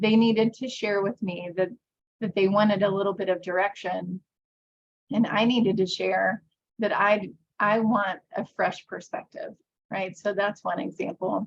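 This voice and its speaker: A woman with an American accent talks at a moderate pace and medium pitch. Her voice is somewhat breathy and her intonation fairly even. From US, conservative evangelical state. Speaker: workshop presenter. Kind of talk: workshop presentation.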